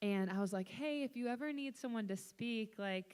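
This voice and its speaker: A woman talks with an American accent. Her pitch variation is ordinary. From Texas. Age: 19. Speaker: youth speaker, church staff. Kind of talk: youth group talk. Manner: conversational.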